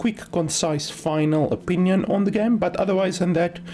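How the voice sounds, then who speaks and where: A woman speaks with a non-native accent. Her pitch moves in an ordinary way. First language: not English. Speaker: game streamer and reviewer. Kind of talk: livestream gameplay commentary. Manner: casual, many filler words.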